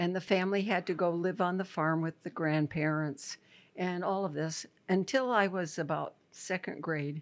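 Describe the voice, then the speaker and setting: Recorded very cleanly against a silent background, a woman with a Midwestern American accent talks at a moderate pace in a fairly low pitch. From Iowa, USA. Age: 80s+. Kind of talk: interview answer.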